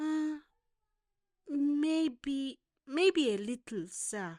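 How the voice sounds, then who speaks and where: In a put-on character voice, a woman speaks high and with lively intonation on a very clean recording with a silent background. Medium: read story. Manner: hesitant, stammering, polite.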